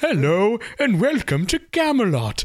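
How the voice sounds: A put-on character voice sits at a fairly high pitch and swings very widely in pitch. It moves at a fairly slow pace.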